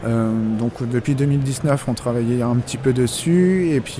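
Over noticeable background noise, a man talks in a medium pitch. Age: 30s. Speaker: video game shop manager. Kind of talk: interview. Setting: in a shop. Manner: hesitant, many fillers.

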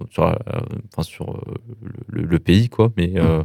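A man's very deep, low voice, dark and mellow in tone, with a dry, close sound and no echo. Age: 20s. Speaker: former professional esports player. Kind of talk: interview. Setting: radio studio. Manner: halting.

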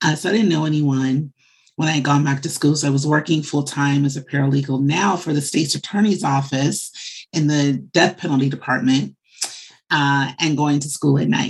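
At a moderate pace, a woman speaks with a very deep, low pitch, fairly even intonation and very even loudness. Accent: American. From Chicago, US Midwest. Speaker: media marketing executive. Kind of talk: interview.

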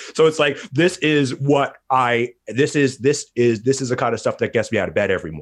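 Vocal fry from a medium-pitched man at a fairly quick pace, with hardly any pauses and ordinary pitch variation. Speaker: podcast host. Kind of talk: casual chat. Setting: video recording. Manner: fast talker.

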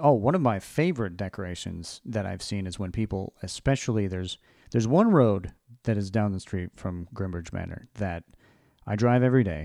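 This man has an ordinary speaking voice, fairly low in pitch, with ordinary pitch variation. He talks at a moderate pace against a quiet background. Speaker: podcast host. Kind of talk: casual chat.

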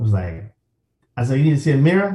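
A man is speaking. His voice is somewhat breathy with a dark, mellow tone. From Chicago, South Side. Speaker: golf entrepreneur and media founder. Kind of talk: casual chat.

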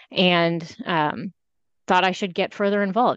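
An unremarkable speaking voice belongs to a woman with an American accent, who talks fairly quickly in a fairly low pitch with fairly even intonation against a quiet background. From Iowa. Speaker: city council candidate. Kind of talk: interview.

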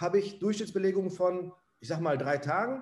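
The man's intonation is fairly even, and his pitch is high. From Ruhr area, Essen. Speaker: property owner and manager. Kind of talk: interview.

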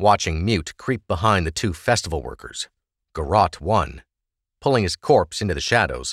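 The background is quiet while a speaker reads aloud in a natural voice.

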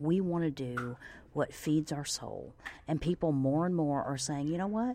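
Speaking at a moderate pace, a woman uses a very deep, low voice with a dark, mellow tone and ordinary pitch variation. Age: 40s. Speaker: podcast host. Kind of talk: casual monologue.

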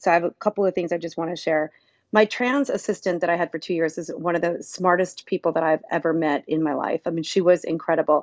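Her pace is very fast and her pitch is fairly low for a woman. The woman's intonation stays fairly even. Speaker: media company owner for hairdressers. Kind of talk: live audio room debate.

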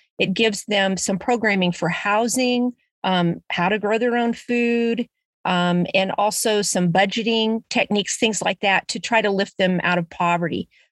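A woman with an Ozarks accent speaks at a medium pitch, her intonation fairly even and her loudness very even. The sound is dry and close with no echo, over a quiet background. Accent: Missouri Ozarks American. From US Midwest, Springfield, Missouri (Ozarks). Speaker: community garden founder. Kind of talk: interview. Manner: halting, many fillers.

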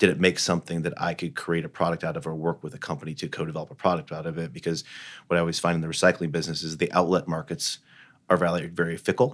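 A man with an American accent, very deep and low in pitch, very fast, on a very clean recording with a silent background. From US Midwest, Indiana (Fort Wayne). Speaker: company CEO. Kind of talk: interview. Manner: halting, many fillers and restarts.

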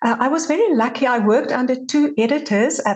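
Somewhat breathy, a woman speaks at a moderate pace. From South Africa. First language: Afrikaans. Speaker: journalist and podcast host. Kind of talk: casual interview chat.

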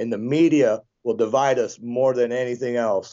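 Speaking with a Midwestern American accent, a man talks at a moderate pace. His pitch is medium. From western Michigan. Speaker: open-carry militia activist. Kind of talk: interview.

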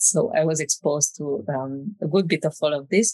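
The speech comes at a fairly slow pace with a dry, close sound and no echo. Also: woman. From Romania. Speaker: architect. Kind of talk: interview conversation.

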